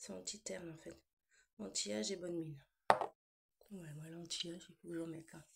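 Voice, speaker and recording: A woman with a fairly low, somewhat breathy voice talks at a fairly quick pace with lively intonation, big swings in loudness and long, frequent pauses. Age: 40s. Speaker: vlogger. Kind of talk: casual chat. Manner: relaxed.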